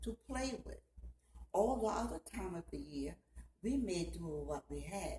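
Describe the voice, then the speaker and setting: A woman with a Southern US accent over noticeable background noise. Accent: Gullah, Southern US. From Georgetown, South Carolina. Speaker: storyteller. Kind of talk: personal storytelling to camera.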